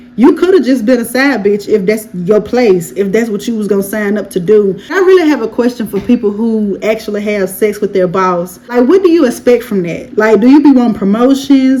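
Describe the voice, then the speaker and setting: A woman's fairly high, lively voice at a fairly quick pace, with noticeable background noise. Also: hardly any pauses. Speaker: YouTube commentator. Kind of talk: casual commentary recap. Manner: fast; animated.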